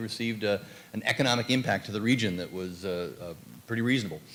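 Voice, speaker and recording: Speech at a fairly quick pace, with ordinary pitch variation, comes through audible room echo. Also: man. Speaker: university professor. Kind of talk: panel presentation. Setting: conference panel. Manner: fast.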